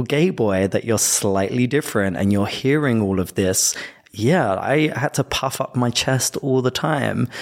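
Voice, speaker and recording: Noticeable background noise sits behind a man speaking at a fairly slow pace. His medium pitch shows ordinary pitch variation, and his loudness stays very even. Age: adult. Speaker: podcast host. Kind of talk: casual chat.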